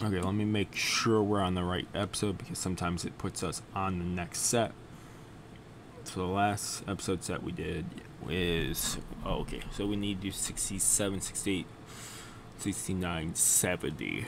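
A man's very deep, low voice, fairly slow and fairly even in intonation, against noticeable background noise. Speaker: reaction video host. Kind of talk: casual vlog chat. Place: home room.

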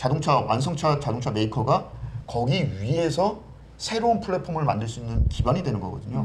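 A man talks at a fairly quick pace with very wide pitch swings. Light background noise sits behind him. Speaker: guest commentator. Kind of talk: talk show discussion on economics. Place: studio. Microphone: lapel.

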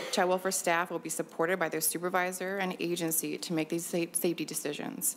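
Fairly quick speech from a woman with a fairly low pitch and vocal fry. Her intonation stays fairly even over light background noise. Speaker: state agency manager. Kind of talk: formal presentation. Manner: formal. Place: hall. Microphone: podium.

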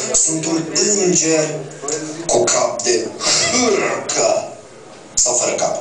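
A man talks at a very slow pace with long, frequent pauses. Music plays in the background, and room echo is audible. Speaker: slam poet. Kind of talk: slam poetry performance. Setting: live stage. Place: stage. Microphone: camera far.

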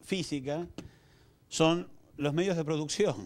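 Speaking with an Argentine accent at a fairly slow pace, a man has a fairly high pitch against a quiet background. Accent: Rioplatense Argentine Spanish. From Argentina, Buenos Aires. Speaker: communications executive; conference speaker. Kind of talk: lecture. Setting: stage with audience. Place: hall. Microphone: handheld.

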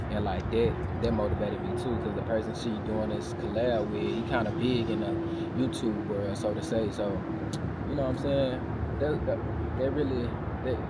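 Long, frequent pauses break up a man's moderate pace against loud background noise. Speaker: vlogger. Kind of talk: casual vlog chat. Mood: relaxed, reflective. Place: street. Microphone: lapel.

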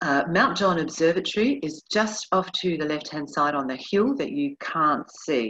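This is a woman speaking at a moderate pace. The background is quiet. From New Zealand. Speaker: tour director; tour guide. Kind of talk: virtual tour presentation. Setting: video call. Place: home room. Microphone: webcam.

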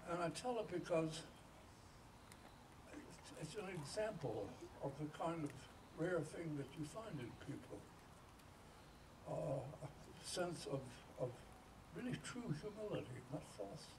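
A man talks at a fairly slow pace with long, frequent pauses. Noticeable background noise runs beneath him. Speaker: speaker. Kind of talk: speech with an anecdote. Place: garden. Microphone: camera far.

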